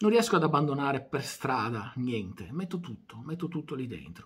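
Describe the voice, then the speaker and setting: Soft-spoken, a man talks at a medium pitch with vocal fry and a fairly slow pace. His pitch swings very widely. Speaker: video channel creator doing a monologue. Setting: home recording at night with microphone and camera on. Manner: unhurried, wry and self-deprecating, winding down to a quiet 'buonanotte'. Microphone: phone near.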